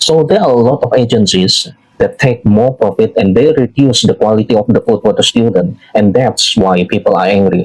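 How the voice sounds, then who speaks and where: Ordinary pitch variation and a moderate pace from a man with a medium pitch. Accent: Indonesian. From Indonesia. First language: Indonesian. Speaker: social media commentator. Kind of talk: political commentary monologue. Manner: halting, frequent fillers.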